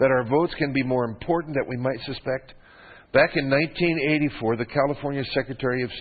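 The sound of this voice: An unforced reading voice carries the clip. It sounds unforced throughout.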